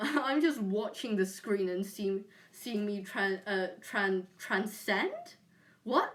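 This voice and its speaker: A woman with a British accent speaks at a very slow pace, her medium-pitched voice carrying lively intonation. Noticeable background noise runs underneath. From UK. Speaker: streamer. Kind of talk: casual chat. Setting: live stream on camera. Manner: halting, many fillers.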